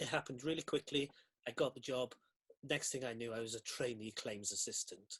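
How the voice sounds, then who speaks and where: Speaking with a Welsh accent, a man holds a medium pitch and fairly even intonation. He moves at a fairly quick pace. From South Wales Valleys. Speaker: costume designer. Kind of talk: interview.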